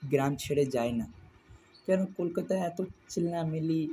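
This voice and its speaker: This man's pitch is fairly high. His tone is dark and mellow. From Kolkata, India (Salt Lake). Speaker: first-time podcaster. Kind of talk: personal storytelling monologue. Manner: halting, repetitive.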